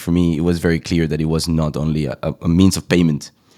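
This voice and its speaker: A dry, close recording with no echo and a very fast pace. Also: man. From Colombia. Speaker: crypto company co-founder. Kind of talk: interview.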